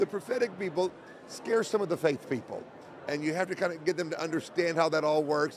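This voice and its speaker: Speaking fairly quickly with an American accent, this man has a high voice and ordinary pitch variation. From Oklahoma, US. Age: 60s. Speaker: evangelist and podcast host. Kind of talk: casual interview conversation. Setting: convention interview.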